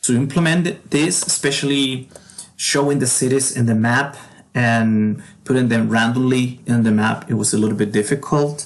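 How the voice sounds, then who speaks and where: A man with a Spanish accent, medium in pitch, at a moderate pace with ordinary pitch variation and very even loudness. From Argentina. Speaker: game developer. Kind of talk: tutorial. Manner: halting.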